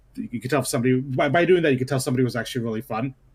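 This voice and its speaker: With ordinary pitch variation, a man talks in a medium-pitched voice. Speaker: podcast co-host. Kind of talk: casual chat. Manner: loud; halting.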